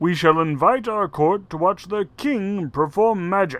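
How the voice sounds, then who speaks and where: Using a put-on character voice, a man talks at a fairly slow pace in a high pitch. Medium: read story. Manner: pompous, commanding.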